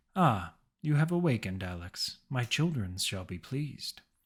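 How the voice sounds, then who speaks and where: A robotic put-on character voice from a man, medium in pitch with very wide pitch swings, at a moderate pace on a very clean recording with a silent background. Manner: dispassionate, cold.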